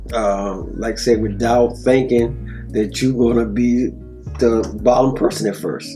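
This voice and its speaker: Music plays in the background as a man speaks at a medium pitch. His pace is fairly slow, and his pitch variation is ordinary. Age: 60s. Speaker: family man interviewed about life. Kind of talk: interview answer.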